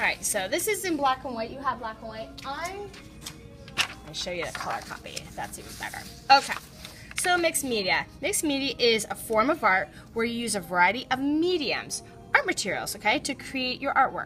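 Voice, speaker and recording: Over background music, a woman with a high voice speaks with very wide pitch swings and big swings in loudness. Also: fairly quick pace. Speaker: art teacher. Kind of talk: classroom instruction. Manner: fast.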